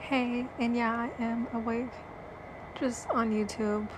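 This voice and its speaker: A woman's fairly high voice stays monotone and flat as noticeable background noise carries on. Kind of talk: casual chat.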